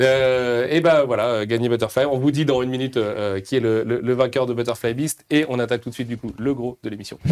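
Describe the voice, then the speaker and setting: Hardly pausing, a man talks at a fairly quick pace. His medium-pitched voice keeps a fairly even intonation. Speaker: live stream host for a manga publisher. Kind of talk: live stream interview. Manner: fast.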